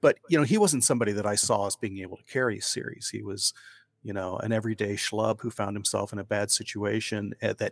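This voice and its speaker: A man with a normal speaking voice talks at a fairly quick pace in a fairly low pitch, his intonation fairly even and the sound dry and close with no echo. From Ohio. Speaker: crime author. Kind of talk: interview.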